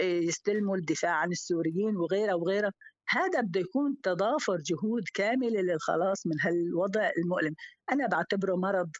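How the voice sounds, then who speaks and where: A woman with a plain, everyday voice at a medium pitch and moderate pace, with ordinary pitch variation and very even loudness. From Syria. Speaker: teacher. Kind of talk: casual chat.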